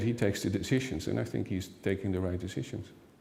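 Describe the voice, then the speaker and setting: Speaking at a fairly low pitch with ordinary pitch variation, a man has a dark, mellow tone. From Netherlands. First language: Dutch. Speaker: expert commentator. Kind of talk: interview. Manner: halting.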